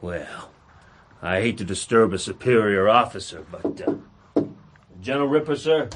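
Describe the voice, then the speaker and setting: A gruff put-on character voice from a man, medium-pitched with lively intonation, moderate in pace, with long, frequent pauses. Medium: audio drama. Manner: gruff, bullying, ungrammatical.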